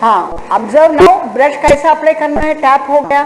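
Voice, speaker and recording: The speech moves at a moderate pace amid noticeable background noise. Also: woman. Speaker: forensic science lecturer. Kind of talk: online lecture. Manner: code-switching Hindi and English.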